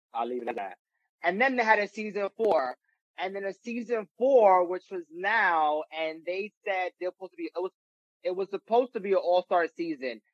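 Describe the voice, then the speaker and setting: With a New York accent and lively intonation, a man speaks at a moderate pace in a high pitch, the sound dry and close with no echo. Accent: New York (Bronx). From New York, the Bronx. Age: 20s. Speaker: reality TV personality and musician. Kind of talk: casual interview chat.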